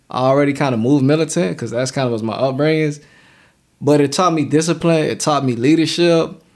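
Using a normal speaking voice with an American accent, a man talks at a fairly quick pace, fairly high in pitch with ordinary pitch variation. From Savannah, Georgia (US South). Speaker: filmmaker, writer and actor. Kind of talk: casual chat.

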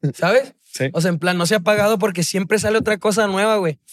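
A man talks at a fairly quick pace. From Mexico, Chihuahua. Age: 20s. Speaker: singer-songwriter. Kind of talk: casual chat.

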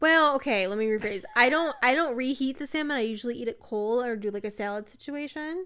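Bright and sharp in tone, a woman talks at a very fast pace with hardly any pauses. Her voice is high-pitched and her intonation lively. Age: 20s. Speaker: podcast co-host. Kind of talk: casual chat.

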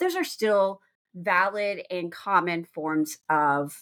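A woman with a Texan accent and lively intonation, on a very clean recording with a silent background. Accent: Texan American. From Texas, small town. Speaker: attorney and podcast host. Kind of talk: solo podcast monologue.

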